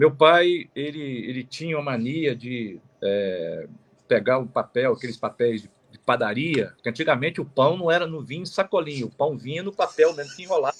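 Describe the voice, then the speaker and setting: The voice has big swings in loudness and lively intonation, moving at a moderate pace over a quiet background. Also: man, fairly high pitch for a man. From Minas Gerais, Zona da Mata (Manhumirim). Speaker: lawyer. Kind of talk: interview, life story. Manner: halting, many fillers.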